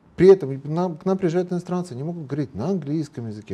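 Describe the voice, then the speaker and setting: A man's very fast speech, fairly high in pitch, dark and mellow in tone, with lively intonation. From Moldova. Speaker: lawyer and public figure; guest. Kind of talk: TV interview. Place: studio. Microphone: lapel.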